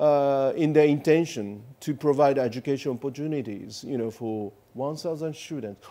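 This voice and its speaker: A man with a Japanese accent and a dark, mellow tone, at a moderate pace with ordinary pitch variation and hardly any pauses. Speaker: ambassador; interviewee. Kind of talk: interview; interview answer. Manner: hesitant, many fillers. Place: studio. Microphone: lapel.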